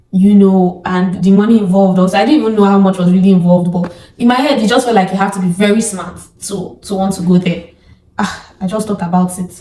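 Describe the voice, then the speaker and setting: Against noticeable background noise, a woman with a Nigerian accent talks at a very fast pace in an animated tone, her pitch medium. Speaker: YouTuber. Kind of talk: testimony. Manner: animated, casual.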